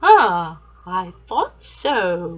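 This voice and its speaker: A put-on character voice from a woman, pitched in the middle range. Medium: read story. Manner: smooth, sly.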